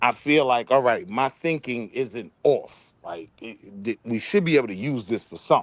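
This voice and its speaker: Recorded with a dry, close sound with no echo and a quiet background, a man with an American accent uses an ordinary speaking voice at medium pitch, speaking at a moderate pace with lively intonation and big swings in loudness. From Harlem, New York. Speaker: debate show host. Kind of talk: panel discussion. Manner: casual.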